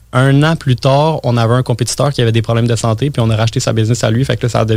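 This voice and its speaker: A man's intonation stays fairly even as he talks very fast. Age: 20s. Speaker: entrepreneur and marketing guest. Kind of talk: casual interview chat.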